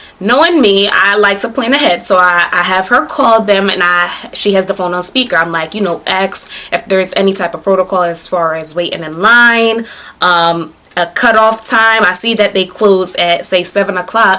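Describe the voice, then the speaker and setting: With an American accent and an animated tone, a woman speaks at a moderate pace and medium pitch, with ordinary pitch variation over noticeable background noise. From New Jersey. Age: 20s. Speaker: beauty and fashion vlogger. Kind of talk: casual vlog storytelling.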